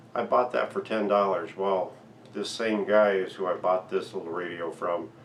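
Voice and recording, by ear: A man's low voice with fairly even intonation at a moderate pace, with audible room echo.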